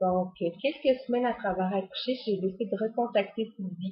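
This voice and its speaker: At a moderate pace, a woman speaks in a somewhat breathy voice with fairly even intonation. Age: 30s. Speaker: fitness coach. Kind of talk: personal testimony. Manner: hesitant, many fillers.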